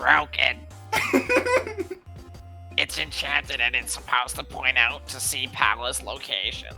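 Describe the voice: Clear music plays behind a put-on character voice. It moves at a moderate pace with long, frequent pauses.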